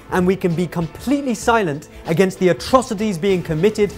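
A man talks while music plays faintly behind him. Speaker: speaker. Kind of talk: commentary. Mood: indignant, persuasive. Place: studio. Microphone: lapel.

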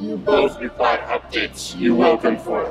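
A man uses a robotic, put-on character voice at a moderate pace. The sound has a clear echo and loud background noise.

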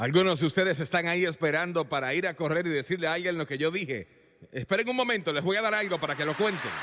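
Talking at a very fast pace, a man speaks with a high pitch. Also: ordinary pitch variation. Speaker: preacher. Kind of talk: sermon, preacher in full flow, TV evangelism. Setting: church with live congregation and TV broadcast. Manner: fiery, emphatic, pounding rhetorical repetition; confrontational, urgent, calling for response.

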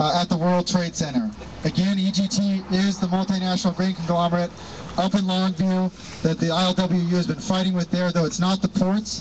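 Moderate pace, with light background noise. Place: street. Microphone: phone near.

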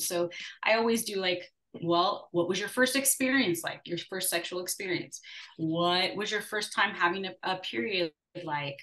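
A woman's ordinary speaking voice, medium in pitch with ordinary pitch variation, at a moderate pace. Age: 40s. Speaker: intimacy and fertility coach. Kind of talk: casual chat.

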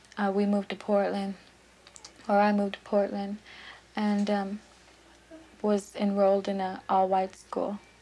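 Monotone and flat in intonation, a woman speaks at a moderate pace with long, frequent pauses. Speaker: prison inmate. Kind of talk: interview testimony. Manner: halting, hesitant. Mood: reflective, subdued. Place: home room.

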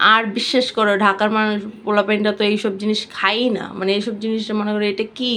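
Over noticeable background noise, a woman talks in a fairly high, monotone voice with flat intonation. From Bangladesh, Bikrampur (Munshiganj) village. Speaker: cooking vlogger. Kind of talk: cooking tutorial. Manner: casual, chatty.

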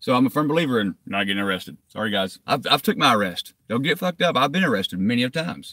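A man's medium-pitched, bright, sharp voice at a very fast pace, with hardly any pauses, very wide pitch swings, a dry sound with no echo and a quiet background. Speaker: YouTube cop-watch activist; vlogger. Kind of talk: live stream chat to viewers. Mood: defensive, irritated. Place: car. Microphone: phone near.

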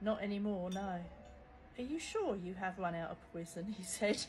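Somewhat breathy and with a British accent, a woman talks at a moderate pace with ordinary pitch variation over light background noise. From UK. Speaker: social media content creator. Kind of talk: humorous storytelling, reading out a chat. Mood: wry, joking. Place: home room. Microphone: phone near.

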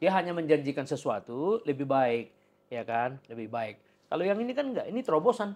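A man talks at a fairly quick pace with a fairly high pitch. His pitch swings very widely. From Indonesia. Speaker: podcast host. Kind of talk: interview. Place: office. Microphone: lapel.

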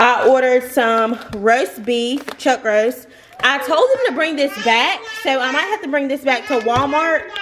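A woman's high voice with an American accent and lively intonation, at a fairly slow pace over light background noise. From US South. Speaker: lifestyle vlogger. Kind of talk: casual chat. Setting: at home. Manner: chatty. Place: kitchen. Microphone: phone near.

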